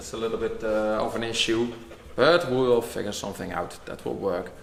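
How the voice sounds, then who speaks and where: A man with a Dutch accent speaks at a moderate pace in a medium pitch, with audible room echo and noticeable background noise. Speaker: workshop vlogger. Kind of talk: casual chat.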